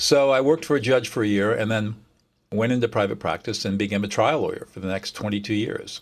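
With a Californian accent, a man talks at a fairly quick pace at a medium pitch, with ordinary pitch variation. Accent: Californian American. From US California. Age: 70s. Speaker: mediator and author. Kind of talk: casual interview chat. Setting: video call.

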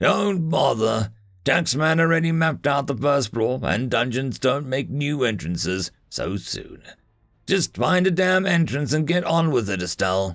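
A man uses a gruff, put-on character voice at a medium pitch, with very wide pitch swings and a moderate pace. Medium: read story. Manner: curt, commanding.

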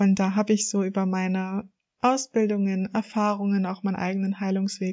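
A woman at medium pitch and moderate pace. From northern Germany, Hamburg area. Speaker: coach and podcast host. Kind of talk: solo podcast monologue.

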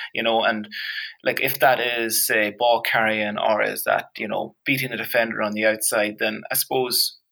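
A man speaks at a medium pitch in a flat, monotone delivery with a Donegal accent. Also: moderate pace. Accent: Donegal Irish. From Ireland, County Donegal. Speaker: strength and conditioning coach. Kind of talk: casual interview.

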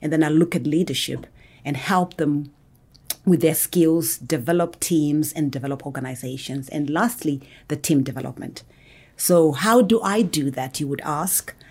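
A woman's very deep, low voice with a Zimbabwean accent and ordinary pitch variation, on a very clean recording with a silent background. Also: moderate pace. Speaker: business consultant. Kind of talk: interview. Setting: in person.

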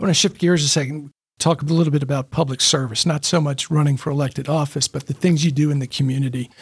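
A man's fairly high, somewhat breathy voice at a very fast pace, fairly even in intonation, with hardly any pauses. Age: 60s. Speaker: podcast host. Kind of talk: interview; scripted intro.

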